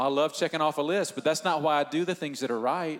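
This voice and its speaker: A man speaks in a fairly high pitch. His pace is fairly quick. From US South, Northeast Georgia. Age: 40s. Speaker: church pastor. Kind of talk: church panel discussion. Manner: animated.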